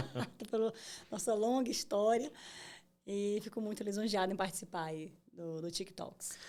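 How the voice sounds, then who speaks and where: A woman talks at a moderate pace in a medium pitch, with ordinary pitch variation. Her tone is dark and mellow, broken by long, frequent pauses. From Bahia, Brazil. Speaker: tech entrepreneur. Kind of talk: interview. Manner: many fillers and hesitations.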